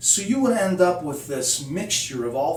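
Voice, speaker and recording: Noticeable background noise and audible room echo surround a man whose fairly high voice swings very widely in pitch. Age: 60s. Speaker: musician. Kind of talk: casual tutorial. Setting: home studio. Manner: conversational, many fillers.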